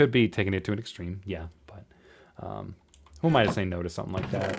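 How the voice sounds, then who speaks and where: A man speaks with a very deep, low pitch. His voice has vocal fry. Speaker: podcaster and voice actor. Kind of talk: casual solo podcast talk. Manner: halting, many repetitions and fillers.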